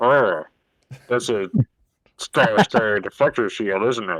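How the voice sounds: Putting on a robotic character voice, a man speaks fairly slowly at medium pitch.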